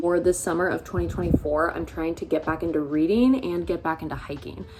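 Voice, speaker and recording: A woman speaks at a fairly quick pace with a fairly low pitch. Noticeable background noise runs behind her. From US Pacific Northwest (Seattle area). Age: 20s. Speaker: vlogger. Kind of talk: casual vlog talk. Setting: indoors getting ready, bedroom. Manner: casual, chatty.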